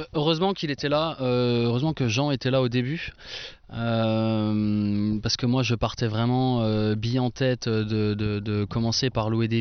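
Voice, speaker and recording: A man at a moderate pace, with fairly even intonation and very even loudness. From Franche-Comté, eastern France. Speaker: winemaker. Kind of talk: casual chat. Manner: hesitant, many fillers.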